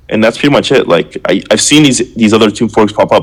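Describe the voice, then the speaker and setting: This man speaks with a Canadian accent. His pace is fairly quick. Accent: Canadian, noticeable. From Canada, Ontario. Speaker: crypto project founder. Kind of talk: live Q&A stream. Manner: fast; casual, filler-heavy.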